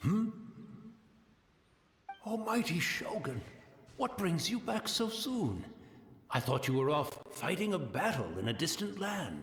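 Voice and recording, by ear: Using a put-on character voice, a man speaks slowly in a fairly high pitch and a fairly bright tone, with big pitch swings and long, frequent pauses.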